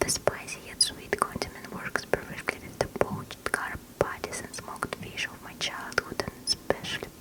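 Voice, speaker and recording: Whispering at a moderate pace comes through with noticeable background noise. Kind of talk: ASMR book reading. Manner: whispered, soft-spoken.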